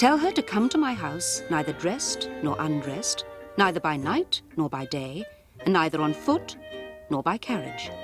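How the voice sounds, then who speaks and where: The speaker talks at a moderate pace with music playing in the background. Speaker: storyteller. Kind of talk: children's story narration.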